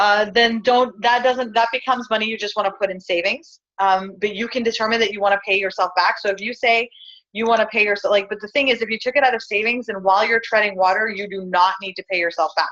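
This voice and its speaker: Very fast and with hardly any pauses, the voice sounds bright and sharp, its intonation fairly even. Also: woman, fairly high pitch for a woman. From Pakistan. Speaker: business workshop leader. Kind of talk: online workshop tutorial.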